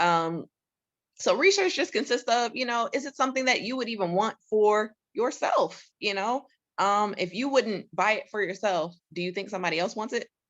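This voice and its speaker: A woman's fairly high voice with lively intonation against a quiet background. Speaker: real estate investor. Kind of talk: webinar presentation. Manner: fast.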